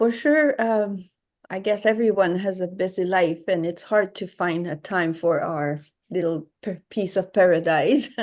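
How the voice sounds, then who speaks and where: In a quiet background, a woman with a Quebec accent speaks at a fairly slow pace, with medium pitch and ordinary pitch variation. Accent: French-Canadian (Quebec). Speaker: watercolor artist. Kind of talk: interview. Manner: halting.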